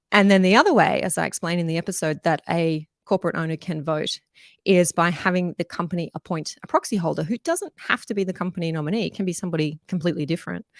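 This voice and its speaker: Very fast and fairly even in intonation, a woman talks at a fairly low pitch in an Australian accent, recorded dry and close with no echo. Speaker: strata lawyer and livestream host. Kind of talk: live Q&A stream explaining law. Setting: live online broadcast. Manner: conversational with frequent fillers.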